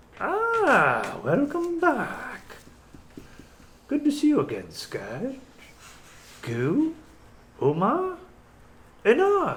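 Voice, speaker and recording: A put-on character voice, high in pitch, moves at a very slow pace. Long, frequent pauses break up the delivery. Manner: mysterious.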